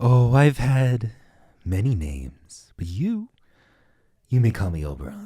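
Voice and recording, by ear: Slow-paced and in a put-on character voice, the speaker has a dark, mellow tone with a slightly husky edge and big pitch swings.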